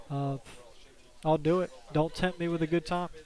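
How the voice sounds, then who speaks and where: This man's fairly high voice stays monotone and flat as he talks at a moderate pace. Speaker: game commentator. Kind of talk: live commentary. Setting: live stream at tournament venue.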